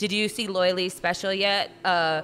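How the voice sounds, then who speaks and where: A woman speaks at a moderate pace with fairly even intonation. Light background noise is present. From Southern California. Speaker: podcast host. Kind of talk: casual chat. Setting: coffee shop. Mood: relaxed, storytelling. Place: cafe. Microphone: studio mic.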